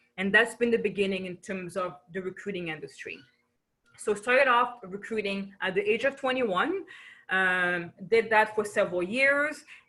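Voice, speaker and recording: A woman with a French accent speaks at a moderate pace, her pitch medium with ordinary variation. Her tone is bright and sharp. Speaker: business coach. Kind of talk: webinar presentation. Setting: video webinar. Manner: animated.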